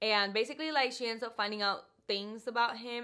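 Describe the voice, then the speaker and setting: With a Spanish accent, a woman speaks at a moderate pace with ordinary pitch variation. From Puerto Rico. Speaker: book YouTuber. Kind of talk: casual talk to camera.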